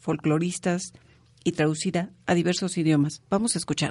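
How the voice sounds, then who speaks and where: A woman speaks at a moderate pace with a fairly low pitch and ordinary pitch variation, a plain, everyday voice. The background is quiet. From Mexico. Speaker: radio co-host. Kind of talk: casual chat; scripted narration.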